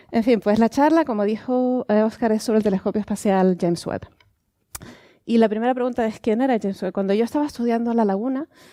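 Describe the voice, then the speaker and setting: On a very clean recording with a silent background, a woman with a Canarian accent speaks at a very fast pace in a dark, mellow tone, her fairly high pitch showing ordinary pitch variation. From Canary Islands, Tenerife. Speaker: astronomer. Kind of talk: public science lecture. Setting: museum lecture with audience.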